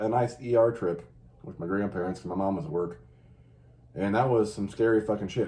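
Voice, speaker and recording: The man talks at a very fast pace with an American accent. His voice has a dark, mellow tone and a fairly low pitch. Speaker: podcast host. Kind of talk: casual chat. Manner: fast and loud at times.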